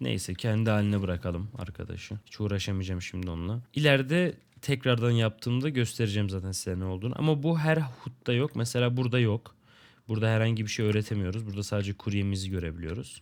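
A man with a fairly low pitch and ordinary pitch variation at a very fast pace, on a very clean recording with a silent background. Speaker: gaming youtuber. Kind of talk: gameplay commentary. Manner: casual, laughs often. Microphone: new microphone and headset.

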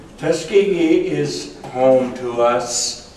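A man talks with an American accent. The recording has light background noise and audible room echo. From US South. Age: 80s+. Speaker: war veteran and retired pilot. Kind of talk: ceremonial speech. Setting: stage with audience. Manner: humorous. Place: meeting room. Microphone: camera far.

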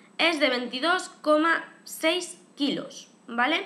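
Her voice raised and projected, a woman speaks with ordinary pitch variation. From Spain. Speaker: YouTube vlogger. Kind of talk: casual vlog to camera. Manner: chatty, frequent fillers. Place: home room. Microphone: webcam.

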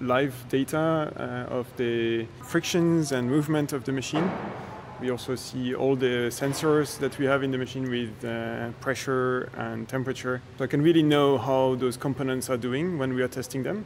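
Against noticeable background noise, a man speaks with fairly even intonation. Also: moderate pace. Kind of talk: interview answer. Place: workshop.

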